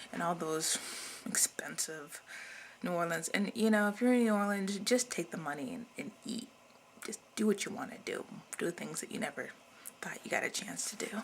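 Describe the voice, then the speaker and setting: Mumbling at a moderate pace, a woman with a medium pitch uses lively intonation, big swings in loudness, and long, frequent pauses. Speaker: video blogger. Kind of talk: casual monologue to camera.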